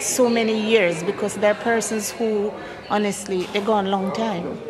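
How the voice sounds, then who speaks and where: A woman's fairly high voice, with music in the background and audible room echo. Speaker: community health aide. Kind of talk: testimony.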